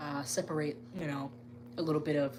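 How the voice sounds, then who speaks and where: Noticeable background noise and audible room echo around a woman's very deep, low voice. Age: 20s. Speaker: gaming YouTuber. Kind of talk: live stream casual chat. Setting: live stream from gaming room. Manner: conversational, many fillers.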